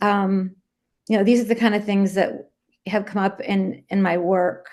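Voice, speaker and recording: This is a woman speaking at a medium pitch. Her pitch varies in an ordinary way. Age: 60s. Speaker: recovering addict and treatment counselor. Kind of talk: personal testimony talk. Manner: halting, many fillers.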